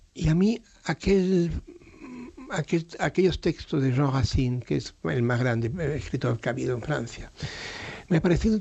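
Intonation here is lively, and the voice is somewhat breathy. The pace stays moderate. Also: man. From Spain, raised abroad as diplomat's son (USA, Belgium). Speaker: painter and TV personality. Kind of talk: late-night radio interview.

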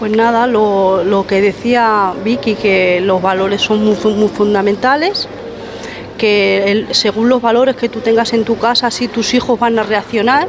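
A woman with a fairly high voice speaks at a fairly slow pace, her intonation fairly even and her loudness very even, over noticeable background noise. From Spain, Madrid. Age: 50s. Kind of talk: group discussion.

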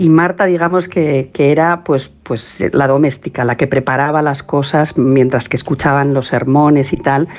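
A woman talks at a moderate pace with hardly any pauses and very even loudness, her pitch very deep and low. Her intonation is fairly even, and there is noticeable background noise. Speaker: documentary maker and researcher. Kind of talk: interview.

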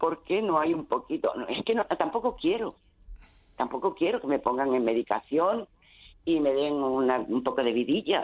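A woman with a fairly low pitch speaks at a moderate pace. Her pitch swings very widely. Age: 70s. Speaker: caller. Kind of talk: radio call-in, personal testimony. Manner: halting.

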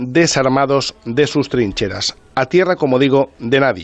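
Against music in the background, a man with a fairly high pitch speaks at a fairly slow pace. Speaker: radio reporter and storyteller. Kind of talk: storytelling radio segment.

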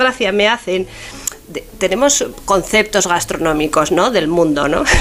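A woman at a moderate pace, her intonation lively, against noticeable background noise. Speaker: food historian. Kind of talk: radio interview. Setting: radio show.

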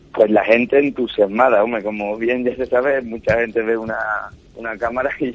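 Very fast speech with an Andalusian accent. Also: man. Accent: Andalusian (Cádiz). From Cádiz, Andalusia, Spain. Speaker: chef. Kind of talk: radio interview. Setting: phone call from his home kitchen.

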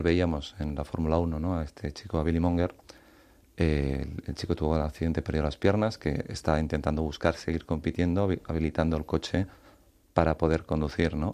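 A man's very deep, low voice, dark and mellow in tone, fairly quick and monotone, flat in intonation. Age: 30s. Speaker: author. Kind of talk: interview.

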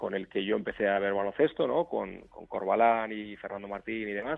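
Over music in the background, a man talks in a fairly low pitch. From Basque Country, Portugalete (Biscay). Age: 40s. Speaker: basketball coach. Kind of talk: interview.

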